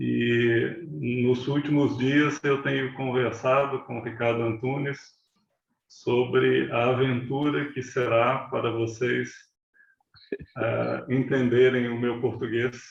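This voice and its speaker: At a very slow pace, a man talks at medium pitch with fairly even intonation, and audible room echo surrounds his voice. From Brazil, Belo Horizonte, Minas Gerais. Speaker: meditation teacher. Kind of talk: talk to online audience.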